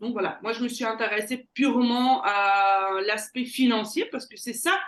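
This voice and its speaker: A woman with a Belgian accent speaks at a high pitch with fairly even intonation. She goes at a fairly slow pace against a quiet background. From Belgium. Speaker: sales closer, entrepreneur. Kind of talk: interview.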